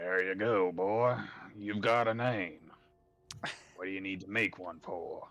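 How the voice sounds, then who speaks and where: A man performs a put-on character voice, raspy and fairly low in pitch. He talks at a fairly slow pace with long, frequent pauses as faint music plays in the background. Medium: actual play. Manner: dry, curt.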